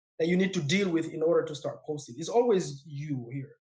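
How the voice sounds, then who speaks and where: A man speaks at a very fast pace with a non-native accent. His tone is animated and his intonation lively. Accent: foreign. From West Africa, raised in a refugee camp. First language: not English; self-taught English, speaks four languages. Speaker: real estate investor. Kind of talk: podcast interview.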